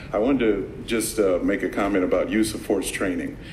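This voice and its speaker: Audible room echo surrounds a man's voice. Noticeable background noise is also present. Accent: American. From Los Angeles, South Central. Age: 60s. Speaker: public commenter, martial arts instructor. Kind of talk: public comment at meeting.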